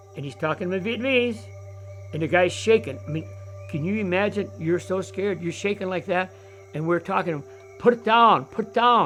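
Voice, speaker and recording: A man with a high pitch and ordinary pitch variation talks at a fairly quick pace. He leaves long, frequent pauses, with music in the background. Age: 80s+. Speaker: war veteran. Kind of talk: testimony. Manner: halting.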